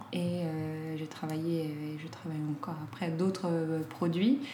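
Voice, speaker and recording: A woman speaks at a fairly slow pace. The room echo is audible, and background noise is noticeable. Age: 30s. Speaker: clothing brand founder. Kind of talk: casual interview. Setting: at her home. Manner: hesitant, many fillers.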